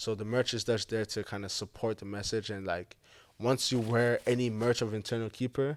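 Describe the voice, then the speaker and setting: Medium in pitch, a man talks at a fairly quick pace with fairly even intonation. The recording is very clean, with a silent background. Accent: African. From Montreal, Canada (born in Zimbabwe). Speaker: football player and entrepreneur. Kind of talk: talk show interview.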